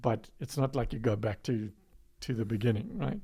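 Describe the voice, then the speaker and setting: Vocal fry runs through a man's voice as he speaks at a moderate pace with ordinary pitch variation. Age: 60s. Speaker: low-carb organization founder. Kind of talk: podcast interview.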